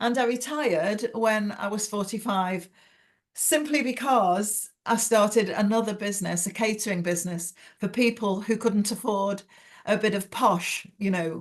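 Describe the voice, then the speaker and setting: A woman of medium pitch in an English accent, with ordinary pitch variation at a moderate pace. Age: 70s. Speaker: novelist. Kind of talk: interview.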